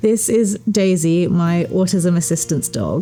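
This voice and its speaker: Talking at a fairly slow pace over noticeable background noise, a woman uses a fairly low pitch with ordinary pitch variation. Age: 30s. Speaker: singer-songwriter, tattoo client. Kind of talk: documentary interview. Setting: tattoo studio.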